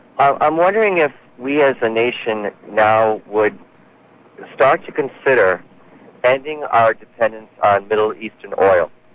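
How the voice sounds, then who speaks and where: Amid noticeable background noise, a man at medium pitch speaks fairly slowly with lively intonation and long, frequent pauses. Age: 30s. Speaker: caller. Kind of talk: casual chat. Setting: phone call.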